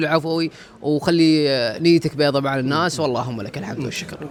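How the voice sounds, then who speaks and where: Noticeable background noise sits behind a man speaking at a moderate pace, with a fairly high pitch and ordinary pitch variation. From Gulf states. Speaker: content creator. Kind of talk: interview.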